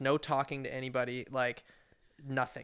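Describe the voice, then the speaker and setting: With a West Coast accent, a man speaks at a fairly quick pace in a fairly high pitch. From Oregon, near Portland (Wilsonville). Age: 20s. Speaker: podcast guest. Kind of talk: casual chat. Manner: laid-back slangy.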